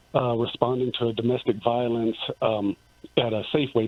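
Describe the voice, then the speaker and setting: Fairly quickly and at a medium pitch, a man talks over noticeable background noise. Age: 50s. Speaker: caller. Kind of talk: phone-in comment. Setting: phone call. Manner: halting, many fillers.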